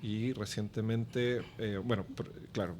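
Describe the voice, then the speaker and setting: With fairly even intonation, a man speaks at a fairly slow pace in a fairly low voice. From Chile. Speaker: business development executive. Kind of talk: podcast interview.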